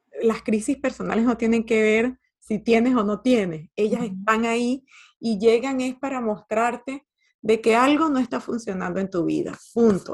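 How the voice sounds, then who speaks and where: A woman with a plain, everyday voice talks at a moderate pace and a fairly high pitch. Her pitch varies in an ordinary way against a quiet background. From Venezuela. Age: 50s. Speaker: life coach and author. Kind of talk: interview conversation.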